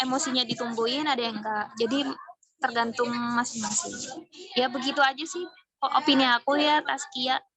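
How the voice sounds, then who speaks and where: This voice keeps an ordinary amount of pitch variation and a moderate pace throughout. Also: woman, high pitch for a woman. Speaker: university student. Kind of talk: group discussion.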